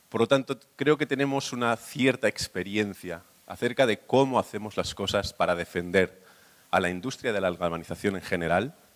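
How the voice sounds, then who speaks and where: Dry and close with no echo, a man's normal speaking voice moves at a fairly quick pace. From Spain. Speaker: industry association secretary. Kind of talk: conference presentation.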